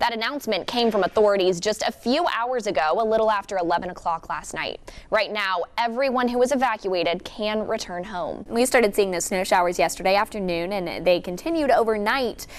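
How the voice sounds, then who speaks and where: Over noticeable background noise, a woman with a fairly high voice talks at a fairly quick pace, with lively intonation and hardly any pauses. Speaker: TV news anchor and reporter. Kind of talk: TV news anchoring.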